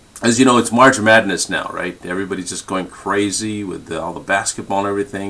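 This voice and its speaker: A man with a fairly low voice talks at a fairly quick pace while noticeable background noise continues. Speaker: sales trainer. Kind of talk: sales training talk on a conference call. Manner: fast.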